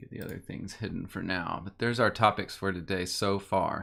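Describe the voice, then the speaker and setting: A man with a fairly low pitch, ordinary pitch variation and a moderate pace, in a very clean recording with a silent background. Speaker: livestream Bible discussion host. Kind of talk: casual livestream chat. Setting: video livestream. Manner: halting.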